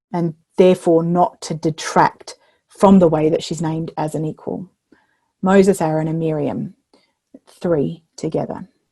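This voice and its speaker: Recorded dry and close with no echo, a woman with an Australian accent speaks in a flat monotone at a fairly low pitch, dark and mellow in tone, with long, frequent pauses. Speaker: minister and biblical storyteller. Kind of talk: keynote lecture. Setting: online video recording. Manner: hesitant with many fillers.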